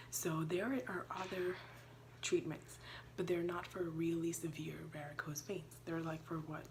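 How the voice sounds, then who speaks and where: Audible room echo surrounds a woman speaking at a fairly slow pace with a fairly low pitch. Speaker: YouTuber and teacher. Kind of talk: informative vlog. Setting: at home. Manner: hesitant, filler-heavy.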